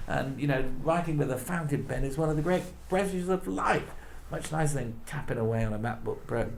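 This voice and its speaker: A man's fairly high-pitched voice with audible room echo and noticeable background noise. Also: ordinary pitch variation, fairly quick pace. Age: 60s. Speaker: politics professor. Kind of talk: interview. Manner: halting.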